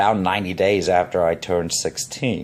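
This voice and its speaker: The voice belongs to a man with a very deep, low pitch. He talks at a moderate pace with ordinary pitch variation. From England, raised in Zambia, Canada and Illinois. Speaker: professional giving a self-introduction. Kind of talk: personal self-introduction. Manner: hesitant, many fillers and repetitions.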